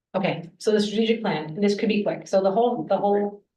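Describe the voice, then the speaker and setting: A woman with a dark, mellow tone and medium pitch talks at a fairly quick pace amid audible room echo. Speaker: school board member. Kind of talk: board meeting discussion.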